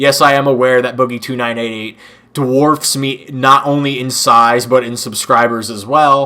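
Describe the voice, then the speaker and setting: Over noticeable background noise, a man talks at medium pitch and a moderate pace. His tone is animated, with big swings in loudness. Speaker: gaming YouTuber. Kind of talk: casual rant.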